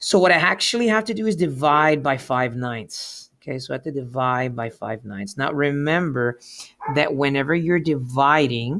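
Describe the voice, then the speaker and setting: Using an ordinary speaking voice, a man with a fairly high pitch talks at a moderate pace with lively intonation. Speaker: math teacher. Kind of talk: tutorial. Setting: remote class, sharing whiteboard.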